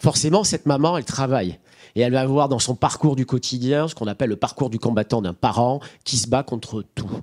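The setting is quiet. Against it, a man speaks at a fairly quick pace. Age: 40s. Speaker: nonprofit director; speaker. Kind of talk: panel discussion. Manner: halting. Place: hall. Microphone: handheld.

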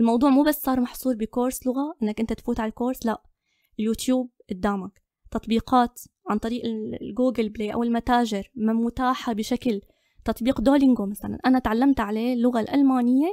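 A woman speaks at a moderate pace in a high pitch, her tone dark and mellow. Her intonation is fairly even, and the sound is dry and close with no echo. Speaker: photographer and content creator. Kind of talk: interview.

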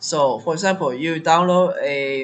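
A man talks at a very slow pace with ordinary pitch variation. Noticeable background noise can be heard. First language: not English. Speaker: Mugen tutorial creator. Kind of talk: screen-recorded software tutorial. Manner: hesitant, many fillers.

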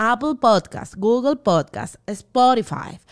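Over a quiet background, a woman talks with lively intonation at a fairly high pitch. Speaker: podcast host. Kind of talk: podcast host, promotional. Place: studio. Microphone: studio mic.

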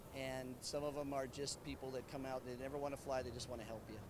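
A man talks at a very fast pace. The sound is dry with no echo, and there is noticeable background noise. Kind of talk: interview answer. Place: street. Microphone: handheld.

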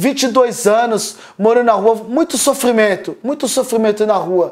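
At a moderate pace, a man speaks with high pitch and ordinary pitch variation against a quiet background. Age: 30s. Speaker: former drug addict, rehab community member. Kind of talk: testimony. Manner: halting, with repetitions. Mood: earnest, emotional. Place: home room. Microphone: phone near.

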